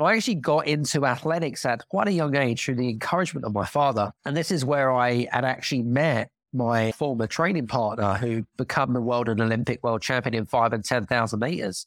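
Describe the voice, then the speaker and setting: A man with a British accent speaks at a fairly quick pace with hardly any pauses, his medium pitch showing ordinary variation and his loudness very even, on a very clean recording with a silent background. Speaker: former elite athlete and leadership coach. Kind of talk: casual interview chat.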